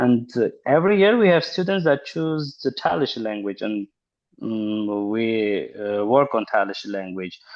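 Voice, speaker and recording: A man's fairly slow delivery with lively intonation. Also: medium pitch for a man. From Armenia. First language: Armenian. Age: 30s. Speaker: linguist and university lecturer. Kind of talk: interview. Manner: halting.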